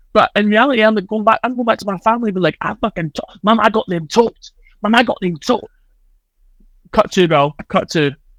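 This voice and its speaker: In a Scottish accent, a man talks very fast with ordinary pitch variation, the recording very clean and dry, close, with no echo and a silent background. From Scotland. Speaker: social media personality. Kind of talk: casual chat. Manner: rambling, fast.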